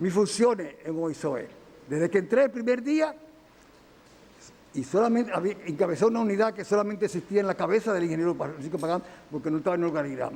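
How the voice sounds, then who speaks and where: The delivery is very fast, with lively intonation. Long pauses come often. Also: man, high pitch for a man. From Dominican Republic, Santiago. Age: 70s. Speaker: engineer defending himself in court. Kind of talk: court testimony. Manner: halting, with self-corrections.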